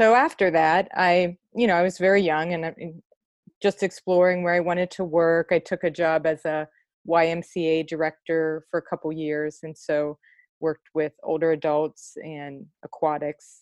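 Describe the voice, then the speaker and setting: In an American accent, a woman with an unremarkable speaking voice talks at a moderate pace, fairly low in pitch with fairly even intonation, in a dry, close sound with no echo. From US Midwest, Cleveland. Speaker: nurse coach and poet. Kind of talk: casual interview.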